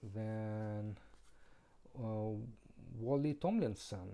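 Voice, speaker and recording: A man's medium-pitched voice, dark and mellow in tone, with a non-native accent. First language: not English. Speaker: board game reviewer. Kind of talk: game review. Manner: halting.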